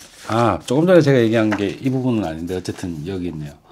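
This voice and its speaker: The tone of this man's voice is dark and mellow. His pitch varies in an ordinary way. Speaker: vlogger. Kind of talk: casual book review vlog with reading aloud. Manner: hesitant, many fillers.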